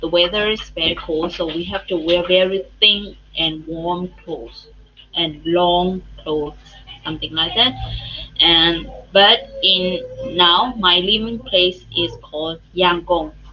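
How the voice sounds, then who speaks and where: A woman speaks at a fairly slow pace with fairly even intonation over noticeable background noise. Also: fairly low pitch for a woman. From Myanmar, Chin State. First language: Chin. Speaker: English teacher. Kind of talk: interview. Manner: halting.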